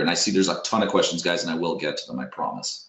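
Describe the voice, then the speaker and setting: Audible room echo surrounds this man's voice. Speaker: SEO software webinar presenter. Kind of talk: tutorial webinar with screen demo. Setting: online webinar. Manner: fast.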